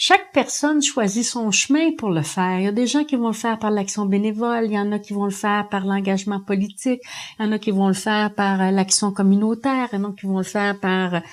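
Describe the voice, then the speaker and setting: A woman with a plain, everyday voice at medium pitch is heard on a very clean recording with a silent background. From Quebec, Montreal. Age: 60s. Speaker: union leader. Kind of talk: interview testimony.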